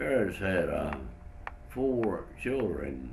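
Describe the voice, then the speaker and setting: A man speaks very slowly in a Southern US accent, his pitch swinging very widely. Audible room echo surrounds his voice. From North Carolina (Whiteville). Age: 90s. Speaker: retired pharmacist, war veteran. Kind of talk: interview testimony. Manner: halting, with many fillers.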